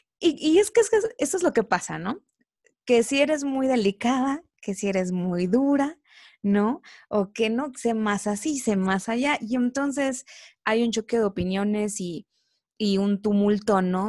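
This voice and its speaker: On a very clean recording with a silent background and a dry, close sound with no echo, a woman speaks fairly slowly at a fairly high pitch, with lively intonation and long, frequent pauses. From Mexico, Veracruz (Coatzacoalcos). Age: 20s. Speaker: podcast co-host. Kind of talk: casual chat.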